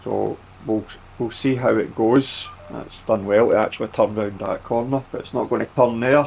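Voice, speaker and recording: A man speaks with a Scottish accent. His pace is moderate. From Scotland. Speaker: gaming YouTuber. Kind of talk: gameplay commentary. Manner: casual, filler-heavy.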